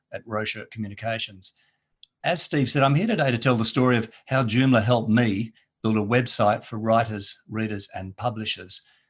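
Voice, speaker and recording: Speaking at a fairly quick pace, a man with a medium pitch talks in an Australian accent. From Australia, Perth. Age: 50s. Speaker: editor and copywriter. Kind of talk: conference presentation.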